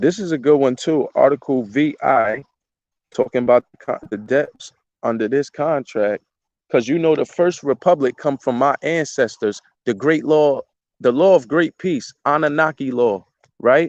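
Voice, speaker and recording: This man has an unremarkable speaking voice, fairly high in pitch, with ordinary pitch variation at a moderate pace. The sound is dry and close, with no echo. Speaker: citizen vlogger. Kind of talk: casual monologue vlog.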